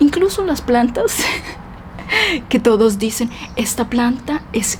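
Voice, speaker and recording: A woman with a Colombian accent speaks at a very slow pace and a high pitch. Noticeable background noise runs beneath her. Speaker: Spanish teacher. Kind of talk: casual vlog talk to camera for language learners.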